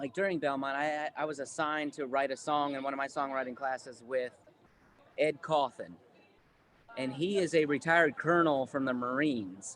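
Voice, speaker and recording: With an American accent, a man uses an ordinary speaking voice, pitched fairly high, at a moderate pace and with ordinary pitch variation. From Ohio, US. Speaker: singer-songwriter. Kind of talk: workshop Q&A talk.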